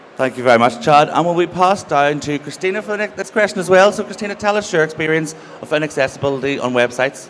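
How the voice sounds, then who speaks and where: A man with a Northern Irish accent talks at a very fast pace with hardly any pauses, fairly high pitch and lively intonation. Noticeable background noise runs behind him. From Northern Ireland. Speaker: panel host. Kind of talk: panel moderation. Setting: stage with audience.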